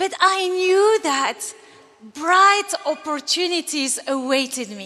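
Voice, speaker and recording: Over noticeable background noise, a woman speaks in an extremely high, raised and projected voice at a very slow pace, her pitch swinging very widely. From Algeria. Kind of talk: commencement speech.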